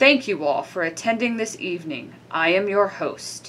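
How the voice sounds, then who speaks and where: A woman puts on a growling character voice at a medium pitch. She talks at a moderate pace with very wide pitch swings. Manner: ominous.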